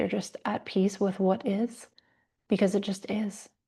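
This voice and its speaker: Against a quiet background, a woman speaks somewhat breathily in a dark, mellow tone at a medium pitch, with fairly even intonation and a moderate pace. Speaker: yoga teacher. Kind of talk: lecture.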